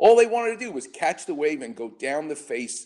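The tone is dark and mellow. The pitch swings very widely. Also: man. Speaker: radio host and orthopedic surgeon. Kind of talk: sports medicine call-in radio show. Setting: studio.

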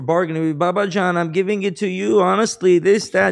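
A man with a New York accent, against a quiet background. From Queens, New York. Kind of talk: casual interview.

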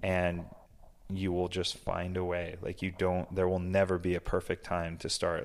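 Very deep and low, a man's voice moves at a fairly slow pace. The recording is very clean, the background silent. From Massachusetts. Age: 40s. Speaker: business owner. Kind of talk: casual interview. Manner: casual, filler-heavy.

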